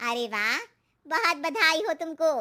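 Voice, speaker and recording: Putting on a cartoonish character voice, a woman goes extremely high in pitch with very wide pitch swings. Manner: knowing, cautionary.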